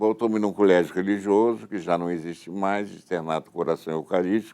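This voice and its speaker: A man speaks with a very deep, low pitch and a dark, mellow tone. His pace is fairly quick and his intonation fairly even. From Rio de Janeiro, Brazil. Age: 70s. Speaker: education foundation founder. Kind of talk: interview testimony.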